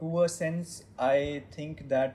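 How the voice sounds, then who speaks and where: A man's dark, mellow, somewhat breathy voice carries fairly even intonation. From India, Maharashtra. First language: Marathi. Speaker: game studio CEO. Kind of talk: interview in mixed Hindi and English.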